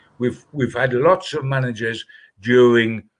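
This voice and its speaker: A man with a Geordie accent at a fairly slow pace, against a quiet background. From northern England. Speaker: football journalist. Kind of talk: casual chat.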